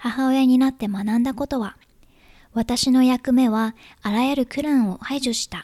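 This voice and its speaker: With a dark, mellow tone, a woman speaks at a high pitch with ordinary pitch variation, recorded very cleanly against a silent background with a dry, close sound and no echo. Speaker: podcast host, writer and mother. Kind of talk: casual solo podcast talk.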